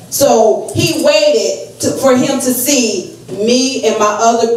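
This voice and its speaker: With audible room echo, a woman in an American accent speaks with ordinary pitch variation. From US South, North Carolina. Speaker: evangelist. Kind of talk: fervent eulogy-sermon at a family funeral, exhorting the congregation. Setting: funeral home pulpit with congregation. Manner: loud, rising preacherly call-and-response with repeated amens; emotional, earnest exhortation, asking rhetorical questions of the family. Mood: emotional, wiping tears. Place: hall. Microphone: pa.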